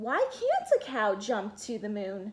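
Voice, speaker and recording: A put-on character voice at a fairly slow pace. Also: woman, fairly high pitch for a woman. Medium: read story. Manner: earnest, plucky.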